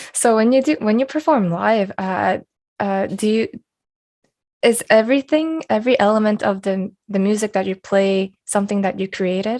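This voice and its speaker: The woman has a plain, everyday voice pitched fairly high. She speaks at a moderate pace with ordinary pitch variation. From Canada. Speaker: podcast interviewer and music artist. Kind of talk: interview.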